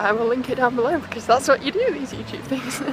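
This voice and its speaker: A high-pitched woman's voice with a British accent and ordinary pitch variation, music in the background. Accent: English (UK). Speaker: vlogger and engineering ambassador. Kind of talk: casual vlog chat. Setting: walking outdoors in London streets.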